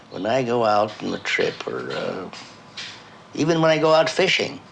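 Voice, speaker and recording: A man's voice over noticeable background noise. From Russia. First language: Russian. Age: 80s+. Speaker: painter. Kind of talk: documentary interview.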